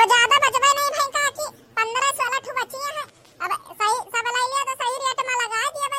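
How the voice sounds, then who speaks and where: A cartoonish character voice at an extremely high pitch and a fairly quick pace. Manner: bargaining, plain-spoken.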